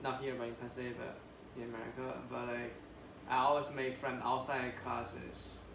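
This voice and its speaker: With monotone, flat intonation at a moderate pace, a man of medium pitch speaks amid noticeable background noise and audible room echo. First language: not English. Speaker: international graduate student. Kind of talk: counseling session. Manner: halting.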